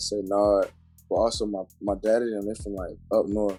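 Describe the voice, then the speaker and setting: A flat, monotone voice at a moderate pace, with music in the background. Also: man. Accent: American. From southern and northern United States.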